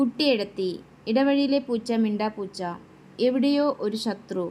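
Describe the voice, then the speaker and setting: The recording is very clean, with a silent background. A woman speaks in a high, dark, mellow voice with ordinary pitch variation. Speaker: YouTube quiz and exam-prep presenter. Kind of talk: quiz-style tutorial.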